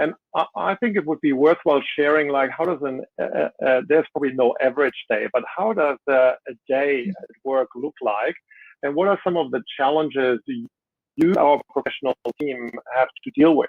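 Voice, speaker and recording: This man speaks with a German accent at a fairly high pitch. His pitch variation is ordinary. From Germany. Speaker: CEO and panel moderator. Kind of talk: panel moderation. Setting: webinar video call.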